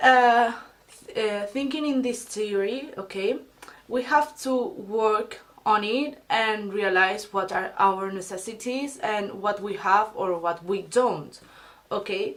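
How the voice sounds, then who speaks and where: The speaker talks at a very slow pace with a Spanish accent. Pitch varies in an ordinary way. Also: woman, fairly high pitch for a woman. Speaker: beauty and self-help vlogger. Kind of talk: casual advice vlog. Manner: halting, many fillers and restarts.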